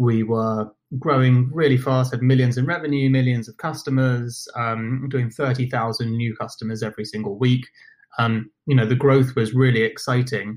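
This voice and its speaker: Here a man with a British accent speaks at a medium pitch. His pace is moderate and his intonation fairly even. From London, England. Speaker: company founder and podcast host. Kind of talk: interview conversation. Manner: hesitant, many fillers.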